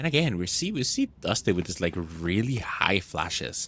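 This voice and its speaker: The talking proceeds at a moderate speed. Behind it, music can be heard. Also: man. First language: not English. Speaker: esports caster. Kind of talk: live commentary.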